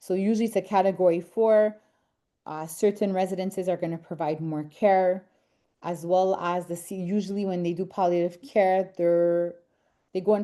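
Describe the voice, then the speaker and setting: A woman with a Quebec French accent speaks at a moderate pace in a medium pitch, her dark, mellow tone delivered in a monotone, flat intonation. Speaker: senior housing advisor. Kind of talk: online webinar presentation.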